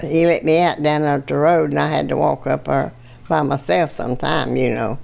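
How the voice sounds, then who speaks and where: This woman speaks at a moderate pace. Noticeable background noise runs behind her. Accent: Virginia. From Virginia, US South. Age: 80s+. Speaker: World War II factory worker. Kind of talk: interview.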